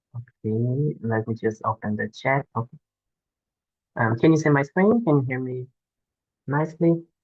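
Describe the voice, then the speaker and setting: A man's medium-pitched, somewhat breathy voice at a moderate pace, with ordinary pitch variation, long, frequent pauses, and a dry, close sound with no echo. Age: 20s. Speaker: doctoral researcher. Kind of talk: conference talk.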